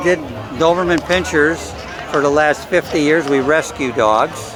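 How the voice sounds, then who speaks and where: With music in the background and audible room echo, a man in an American accent speaks at a fairly high pitch. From US Midwest, Chicago area (Lyons, Illinois). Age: 70s. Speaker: classic car owner. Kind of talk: casual interview.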